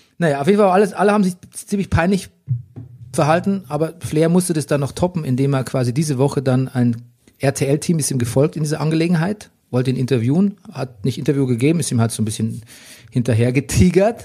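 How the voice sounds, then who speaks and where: Lively in intonation and fairly quick in pace, a man speaks with a fairly high, somewhat breathy voice of dark, mellow tone. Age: 40s. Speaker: podcast host. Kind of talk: casual chat. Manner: animated.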